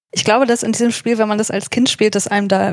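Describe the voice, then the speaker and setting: Here is a woman with an unremarkable speaking voice. Her pitch is medium and her intonation fairly even. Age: 30s. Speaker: psychologist and podcaster. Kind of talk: casual discussion.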